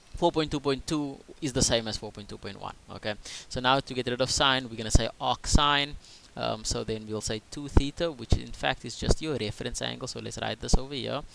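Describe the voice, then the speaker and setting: A man with a medium pitch talks at a fairly quick pace. His intonation stays fairly even while his loudness swings widely. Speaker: maths teacher. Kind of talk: tutorial. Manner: fast.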